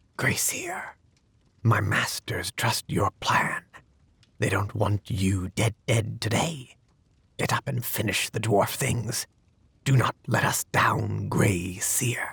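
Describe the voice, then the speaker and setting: In a put-on character voice, a man speaks at a very slow pace with long, frequent pauses, a fairly low pitch, ordinary pitch variation, and hissing on the recording. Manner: grim, hissing.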